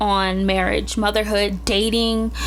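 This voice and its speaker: There is audible room echo around this woman's voice. Noticeable background noise runs underneath. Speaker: podcast host. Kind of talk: solo podcast monologue. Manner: hesitant, with fillers.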